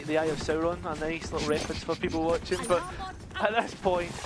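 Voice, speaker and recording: A man with a Scottish accent speaks at a fairly quick pace in a high voice for a man, over noticeable background noise. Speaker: esports caster. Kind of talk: live commentary.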